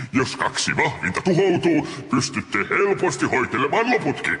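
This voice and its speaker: Doing a put-on character voice, a man speaks at a fairly high pitch. Clear background noise and a clear echo are audible. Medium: fan dub. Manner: polite, deferential.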